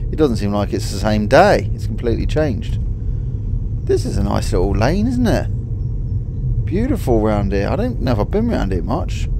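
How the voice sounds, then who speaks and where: Over clearly audible background noise, a man speaks at a medium speed. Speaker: driver vlogger. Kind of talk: casual vlog chat. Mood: relaxed, content. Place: car.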